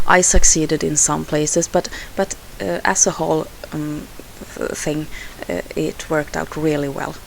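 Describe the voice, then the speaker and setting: A woman with a Swedish accent talks at a fairly slow pace amid noticeable background noise. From Sweden. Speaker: scrapbooking crafter. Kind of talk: tutorial voiceover. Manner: halting, many fillers.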